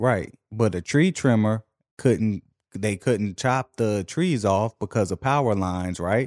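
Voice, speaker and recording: An animated man with an American accent and fairly low pitch speaks with ordinary pitch variation, the sound dry and close with no echo over a quiet background. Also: fairly slow pace. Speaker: podcast host. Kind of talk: casual comedic banter. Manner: animated, joking.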